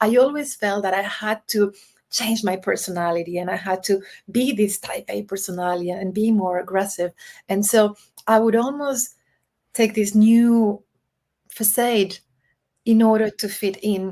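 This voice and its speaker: A woman with a non-native accent speaks at a moderate pace and medium pitch, her tone dark and mellow, her intonation fairly even. She takes long, frequent pauses in a very clean recording with a silent background. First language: not English. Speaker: diversity and executive coach. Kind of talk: interview.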